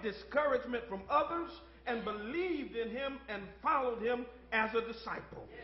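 There is audible room echo as a man talks at a moderate pace in an extremely high pitch. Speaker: pastor. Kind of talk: sermon. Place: church. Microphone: podium.

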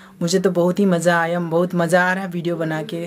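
A man speaks at a high pitch and a fairly slow pace. Light background noise is present. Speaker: vlogger. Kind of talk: casual vlog chat. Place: home room. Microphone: phone near.

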